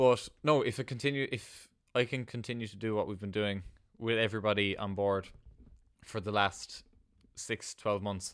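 Speaking at a moderate pace with long, frequent pauses, a man with a fairly low pitch keeps his intonation fairly even. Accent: Cork. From Ireland, north-west County Cork near Kerry border. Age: 20s. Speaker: small food business owner and teacher. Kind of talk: interview.

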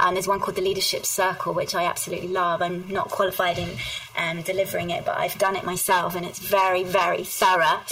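Noticeable background noise sits under a woman talking at a very fast pace. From southern England. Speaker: HR executive. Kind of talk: interview.

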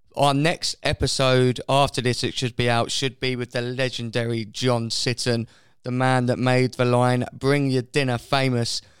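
At a fairly slow pace, a man speaks in an ordinary speaking voice at a medium pitch with fairly even intonation, the sound dry and close with no echo. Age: 20s. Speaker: podcast host. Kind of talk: casual chat.

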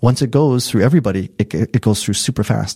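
A man talks at a very fast pace with ordinary pitch variation and a somewhat breathy, dark, mellow tone. The sound is dry and close, with no echo. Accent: American. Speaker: business executive. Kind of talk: interview. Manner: fast and animated.

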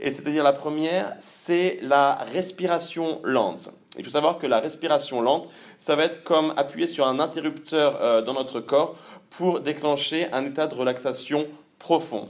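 A man with a fairly high pitch speaks with fairly even intonation in a plain, everyday voice. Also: fairly slow pace. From Normandy, France. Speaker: sport psychology researcher. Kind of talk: interview.

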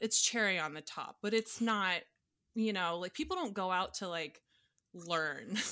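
With an American accent, a woman speaks fairly slowly in a bright, sharp tone at medium pitch with ordinary pitch variation, on a very clean recording with a silent background. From US South, Atlanta, Georgia. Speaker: sommelier. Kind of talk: casual chat.

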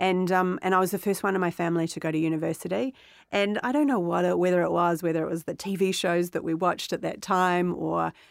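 With a New Zealand accent, a woman talks at a fairly quick pace in a fairly low pitch and fairly even intonation, on a very clean recording with a silent background. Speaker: podcast co-host and company founder. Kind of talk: interview answers.

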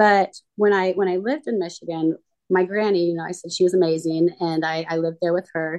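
With a normal speaking voice, a woman talks fairly quickly at a fairly low pitch, her intonation fairly even. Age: 30s. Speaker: recovering addict sharing her story. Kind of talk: interview testimony.

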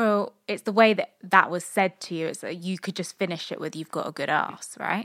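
A woman at medium pitch talks at a moderate pace with hardly any pauses and ordinary pitch variation, in a dry, close sound with no echo. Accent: British. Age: 20s. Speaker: podcast co-host. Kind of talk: casual chat.

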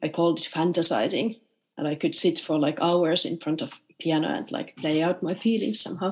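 A woman with a Finnish accent speaks at a moderate pace in a fairly low pitch with lively intonation, over a quiet background. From Finnish Lapland, Rovaniemi. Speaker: composer. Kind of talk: interview.

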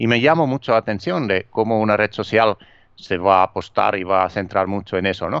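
With a Finnish accent, a man speaks in a fairly low voice with ordinary pitch variation. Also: fairly quick pace, dry, close sound with no echo, quiet background. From Finland. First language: Finnish (speaking Spanish). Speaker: author and digital marketing trainer. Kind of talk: interview. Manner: halting, with fillers and repetitions.

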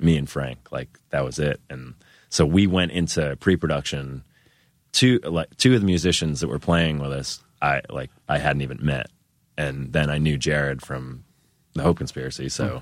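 A man speaks with an American accent at a moderate pace. His pitch is very deep and low, with vocal fry and ordinary pitch variation. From US Northeast, Worcester, Massachusetts. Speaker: musician. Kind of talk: casual chat.

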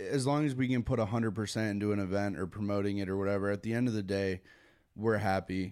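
In a very clean recording with a silent background, a man with an American accent speaks at a fairly quick pace in a plain, everyday voice, with fairly low pitch and fairly even intonation. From Connecticut. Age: 20s. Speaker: music event promoter and booking agent. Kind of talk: casual chat.

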